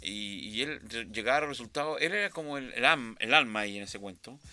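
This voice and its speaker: On a very clean recording with a silent background, a man races along at a very fast pace in a bright, sharp tone. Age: 60s. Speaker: sound engineer. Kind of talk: interview. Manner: halting, many repetitions and fillers.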